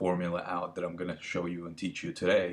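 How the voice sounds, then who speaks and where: Talking very fast, a man uses a very deep, low voice. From Latvia. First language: not English (fourth language). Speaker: filmmaker and business coach. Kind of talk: webinar presentation. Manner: halting, many fillers.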